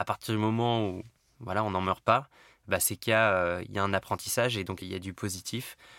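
Fairly low male voice with a bright, sharp tone and a dry, close sound with no echo. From Paris, France. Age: 30s. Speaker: tech company CEO. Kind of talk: interview.

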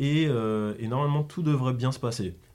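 Here is a man with an ordinary speaking voice, talking at a fairly slow pace. His pitch is medium, with ordinary variation. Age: 20s. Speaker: graphic designer and clothing brand co-founder. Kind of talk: casual interview.

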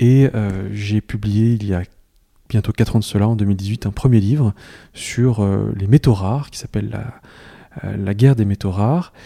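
A very clean recording with a silent background of a man at a fairly low pitch and a fairly slow pace, his tone dark and mellow. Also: ordinary pitch variation. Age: 40s. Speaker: journalist and author. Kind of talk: interview. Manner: hesitant, many filler sounds.

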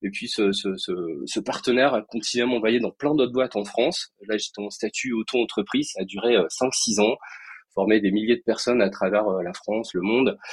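A man talks at a moderate pace and medium pitch with ordinary pitch variation in a dry, close sound with no echo. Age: 40s. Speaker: entrepreneur, founder of a software training company. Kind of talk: podcast interview.

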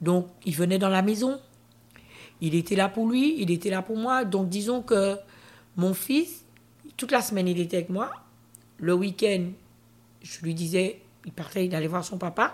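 A woman speaks at a fairly slow pace in a somewhat breathy voice, with ordinary pitch variation and long, frequent pauses. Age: 50s. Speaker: interview guest sharing her life story. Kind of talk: testimony.

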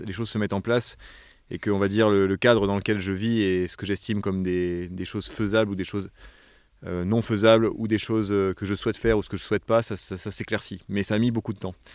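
A man with a fairly low pitch talks fairly quickly in a monotone, flat intonation on a very clean recording with a silent background. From Provence, southern France. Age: 30s. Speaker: director of an environmental education association. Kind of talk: interview. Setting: on location in a forest lodge. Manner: hesitant, many fillers.

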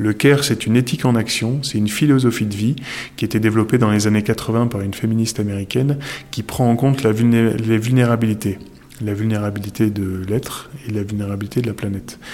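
A man with an ordinary speaking voice talks at a fairly quick pace and medium pitch, his intonation fairly even. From northern France. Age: 40s. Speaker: entrepreneur. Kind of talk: interview.

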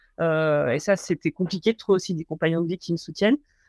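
A woman at a fairly quick pace, her sound dry and close with no echo, over a quiet background. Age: 30s. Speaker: mountain rescuer and former soldier. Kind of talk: interview. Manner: halting, many fillers and repetitions.

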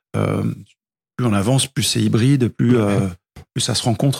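Recorded with a dry, close sound and no echo, a man speaks at a medium pitch with ordinary pitch variation and vocal fry. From grew up in several countries, moved to France at 13. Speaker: music teacher, guitarist and singer. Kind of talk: casual interview. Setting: at his home.

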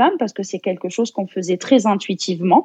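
With a dark, mellow tone at medium pitch, a woman speaks in a dry, close sound with no echo and a quiet background. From France and Algeria. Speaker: therapist, traditional medicine practitioner. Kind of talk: casual interview.

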